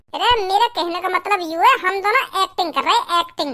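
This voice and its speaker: This cartoonish character voice is squeaky and extremely high-pitched, racing along at a very fast pace. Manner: loud, crude, fast-talking.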